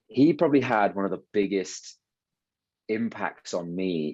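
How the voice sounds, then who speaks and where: A man with a British accent and a fairly low pitch, at a fairly slow pace against a quiet background. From England. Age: 20s. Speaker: ski instructor. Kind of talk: interview. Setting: podcast. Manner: halting, many fillers.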